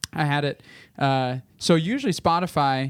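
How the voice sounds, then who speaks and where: A man with a normal speaking voice talks at a fairly slow pace in a fairly high pitch for a man, his intonation fairly even, on a very clean recording with a silent background. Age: 20s. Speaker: worship pastor and podcast co-host. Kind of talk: casual chat.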